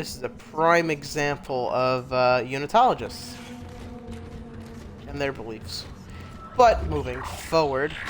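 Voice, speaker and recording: A man's fairly slow voice with long, frequent pauses, big swings in loudness, lively intonation and music in the background. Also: medium pitch for a man. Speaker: gaming youtuber. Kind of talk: let's play commentary. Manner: quiet.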